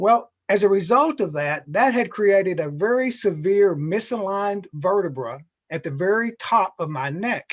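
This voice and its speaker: Over a quiet background, a man with an American accent speaks at a high pitch and a moderate pace, with lively intonation and hardly any pauses. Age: 60s. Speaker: chiropractor. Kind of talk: interview.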